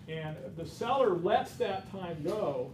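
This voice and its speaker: Loud and with lively intonation, a man's voice carries audible room echo. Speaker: real estate instructor. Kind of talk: lecture.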